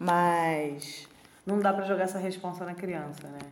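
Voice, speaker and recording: Audible room echo colors a woman's speech. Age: 20s. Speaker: podcast co-host. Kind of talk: casual chat.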